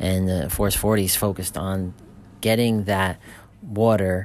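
This man speaks at a fairly slow pace. His voice is fairly low in pitch, with monotone, flat intonation. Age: 40s. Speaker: supplement company owner. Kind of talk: casual monologue podcast. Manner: informal, with many fillers and restarts.

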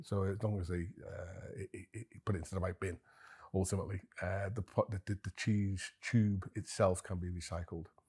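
Somewhat breathy and very deep in pitch, a man speaks at a moderate pace with fairly even intonation. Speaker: managing director, cheesemaker. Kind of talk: interview conversation. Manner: hesitant, many fillers.

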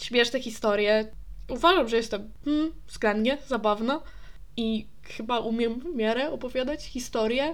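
Her voice is high, with ordinary variation in pitch. She talks at a fairly slow pace. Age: 20s. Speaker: podcast host. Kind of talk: casual solo monologue. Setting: alone in her apartment. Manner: stream of consciousness, unplanned. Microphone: new USB microphone, distance unsure.

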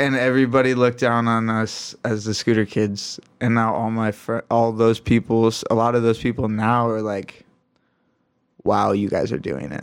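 A man's ordinary speaking voice, medium-pitched, with an American accent, moderate pace and fairly even intonation, on a very clean recording with a silent background. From Michigan. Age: 20s. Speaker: pro scooter rider. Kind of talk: casual chat.

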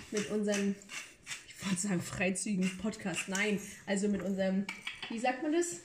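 Fairly brisk delivery with clear noise behind it. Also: woman. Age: 20s. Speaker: podcast host, trained childcare worker. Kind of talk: casual chat while cooking. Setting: home kitchen.

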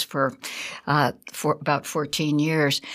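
A woman speaks at a very deep, low pitch with an American accent. The recording is very clean, with a silent background. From Connecticut, New England. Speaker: nature preserve naturalist. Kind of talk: radio interview.

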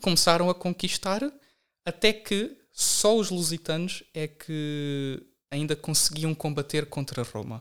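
This man's voice has a fairly high pitch with ordinary pitch variation. He speaks at a very slow pace. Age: 20s. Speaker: podcast guest, nationalist social media commentator. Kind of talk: casual chat with history explanation.

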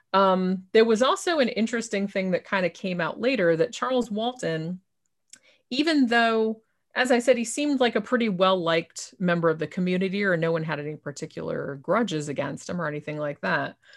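At a fairly quick pace, a woman with a medium pitch sounds enthusiastic, with lively intonation, on a very clean recording with a silent background. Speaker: author and podcaster. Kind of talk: casual interview.

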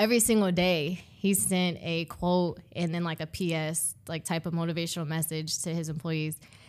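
A woman with a normal speaking voice talks at a moderate pace with hardly any pauses, her pitch fairly low and her intonation fairly even. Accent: American. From Ohio, US Midwest. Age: 20s. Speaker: accountant, consultant. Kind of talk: casual interview.

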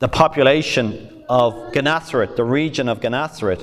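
In a very clean recording against a silent background, a man with an Irish accent speaks fairly slowly with ordinary pitch variation. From Ireland. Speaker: pastor. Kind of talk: sermon.

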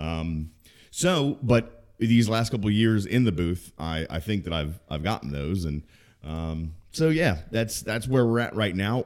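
A man with an unremarkable speaking voice and an American accent talks at a fairly slow pace and fairly low pitch with lively intonation, recorded very cleanly against a silent background. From Maryland, US. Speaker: podcast co-host and sports announcer. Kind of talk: casual chat. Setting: home basement.

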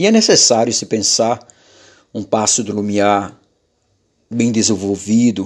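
With long, frequent pauses, a man talks at a fairly slow pace in a fairly low, monotone, flat voice. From Maranhão, Brazil (rural interior, Araioses). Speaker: podcaster, journalist and preacher. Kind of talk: solo podcast monologue, political and religious.

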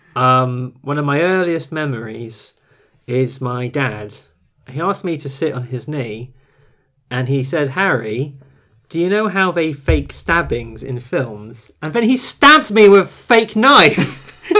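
Speaking slowly in a British accent, a man has a bright, sharp tone and lively intonation on a very clean recording with a silent background. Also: fairly high pitch for a man. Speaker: film podcast co-host. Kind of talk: casual chat. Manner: mumbled diction.

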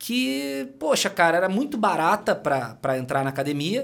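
A man speaks in an energetic tone. His pitch swings very widely. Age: 40s. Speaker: personal trainer and entrepreneur. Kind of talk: casual interview chat.

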